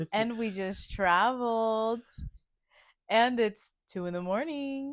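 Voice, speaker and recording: A soft-spoken woman with a fairly high pitch talks at a very slow pace with ordinary pitch variation. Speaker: podcast co-host. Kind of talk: casual chat. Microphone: lapel mic held away, sounds too quiet.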